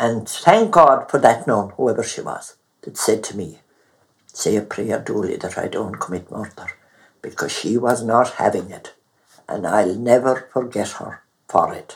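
A woman with a Clare accent, very deep, low pitch, ordinary pitch variation, big swings in loudness and a fairly slow pace. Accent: Irish, Clare. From Mountshannon, east Clare, Ireland. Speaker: retired midwife. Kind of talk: elder telling a story.

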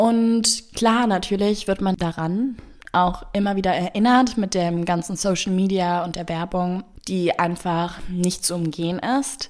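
A woman with an ordinary speaking voice, a medium pitch, ordinary pitch variation and a fairly slow pace. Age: 20s. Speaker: podcast guest. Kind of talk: storytelling.

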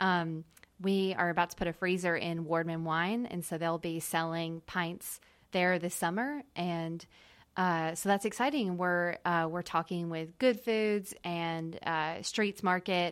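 In a very clean recording with a silent background, a woman with a plain, everyday voice speaks at a fairly slow pace, her pitch fairly low with ordinary variation. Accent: American. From US South, small town. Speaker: ice cream business owner. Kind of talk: interview. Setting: studio.

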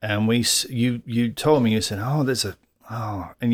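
Medium-pitched male speech with an English accent at a moderate pace, on a very clean recording with a silent background. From England. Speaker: podcast co-host. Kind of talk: casual chat.

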